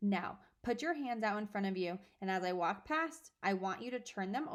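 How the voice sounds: Intonation rises and falls in a lively way. The delivery is a natural reading voice.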